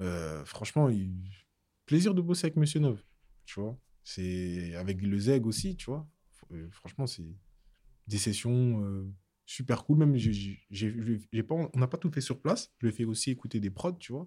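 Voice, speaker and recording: A man's dark, mellow voice at a medium pitch, with very wide pitch swings and long, frequent pauses. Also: fairly slow pace. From Paris region (Seine-et-Marne). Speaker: music producer. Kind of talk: casual interview.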